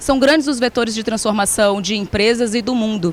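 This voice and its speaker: A woman's fairly high, fairly quick voice in a Ceará accent, with ordinary pitch variation. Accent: Ceará (northeastern Brazilian). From Brazil, Ceará. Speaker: HR executive. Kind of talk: conference talk.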